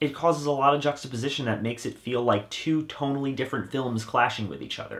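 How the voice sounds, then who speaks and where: Ordinary pitch variation and a fairly quick pace in a normal speaking voice. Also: man. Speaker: horror movie reviewer. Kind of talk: film review monologue.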